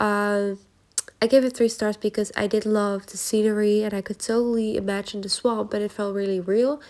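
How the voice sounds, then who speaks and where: Speaking at a moderate pace with a Dutch accent, a woman keeps a fairly high pitch and a monotone, flat intonation. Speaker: journaling YouTuber. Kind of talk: casual vlog book review. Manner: casual, filler-heavy.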